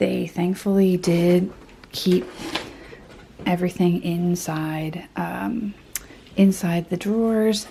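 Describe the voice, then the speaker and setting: Quiet and fairly low-pitched, a woman speaks at a very slow pace with fairly even intonation. Long, frequent pauses break up her speech. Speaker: artist and illustrator vlogger. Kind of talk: casual vlog talk to camera. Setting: home studio. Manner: speaking very quietly; hesitant, many fillers.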